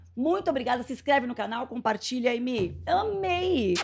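An animated woman's voice with vocal fry over light background noise. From Brazil, Santo André (São Paulo); São Paulo, Brazil. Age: 40s. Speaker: podcast host and entrepreneur; podcast host. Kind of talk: casual chat. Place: studio. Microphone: studio mic.

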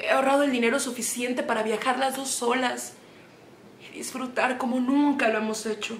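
A woman with a high voice speaks at a moderate pace in a monotone, flat intonation, with audible room echo and light background noise. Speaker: actress playing a worried mother. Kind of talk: dramatic theatre monologue. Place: home room.

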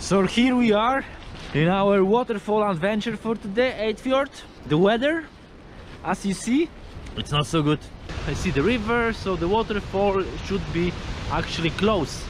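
Against noticeable background noise, in a dry sound with no echo, a high-pitched man speaks at a moderate pace with lively intonation and long, frequent pauses. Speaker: travel vlogger. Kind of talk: casual vlog chat. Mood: disappointed about the weather. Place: open country. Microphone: phone near.

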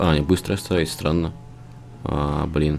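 Noticeable noise runs in the background. Over it, a man's voice is heard. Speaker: gaming channel host. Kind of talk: casual gameplay chat. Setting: game recording, online server.

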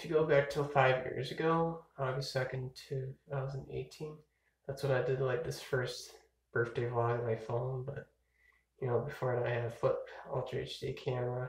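With audible room echo, a man speaks in a somewhat breathy voice with monotone, flat intonation. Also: moderate pace. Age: 20s. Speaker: vlogger. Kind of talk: casual birthday vlog monologue. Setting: filmed on a phone or camcorder at home, early morning. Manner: rambling with many fillers. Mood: relaxed, playful birthday musing. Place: home room. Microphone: phone near.

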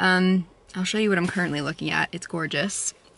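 A woman speaks at a fairly quick pace with ordinary pitch variation and a bright, sharp tone, over light background noise in a dry sound with no echo. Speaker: vlogger. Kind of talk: casual vlog chat. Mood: cheerful, relaxed. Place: car. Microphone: phone near.

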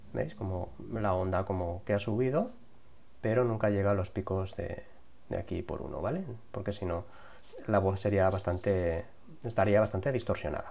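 A somewhat breathy man's voice, fairly low and dark, mellow in tone, with ordinary pitch variation, a moderate pace, and long, frequent pauses. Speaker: YouTube tutorial creator. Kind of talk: tutorial. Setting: home recording with lavalier mic. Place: home room.

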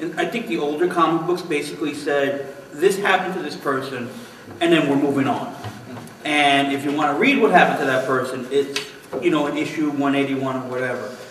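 A man talks at a moderate pace with ordinary pitch variation, with audible room echo and light background noise. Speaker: podcast panelist. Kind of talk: casual discussion. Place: office. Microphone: camera far.

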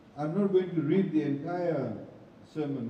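A man talks at a moderate pace in a room with audible echo. Light background noise sits underneath. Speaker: guest. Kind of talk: speech at religious gathering.

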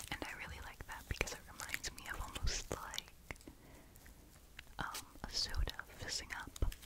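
The speaker whispers at a moderate pace. Long pauses come often. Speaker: ASMR creator. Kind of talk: casual ASMR talking video. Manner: whispered. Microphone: studio mic.

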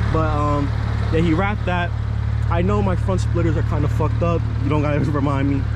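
A man with an American accent at a fairly quick pace, broken by long, frequent pauses, in a dry sound with no echo and loud background noise. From New Jersey. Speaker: car YouTuber. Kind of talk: casual vlog walkaround. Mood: relaxed, a bit self-conscious. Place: street. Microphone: phone near.

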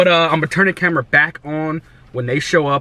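A man is heard in a dry recording with no echo. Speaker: fitness vlogger. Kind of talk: casual vlog chat. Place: car. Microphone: phone near.

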